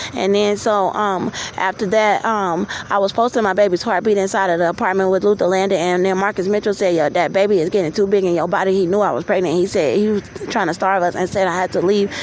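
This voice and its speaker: Over noticeable background noise, a woman with a medium pitch speaks at a very fast pace, her loudness very even and her intonation fairly even. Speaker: vlogger. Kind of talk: personal testimony. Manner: halting.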